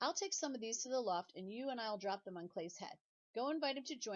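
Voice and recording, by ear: Reading aloud in a natural voice, the speaker uses lively intonation. The background is quiet.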